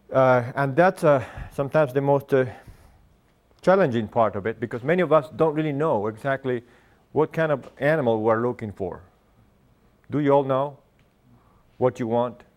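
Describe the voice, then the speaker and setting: At a moderate pace, a man talks in a medium pitch with ordinary pitch variation and long, frequent pauses. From Argentina. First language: Spanish. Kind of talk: lecture. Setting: stage with audience. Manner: halting.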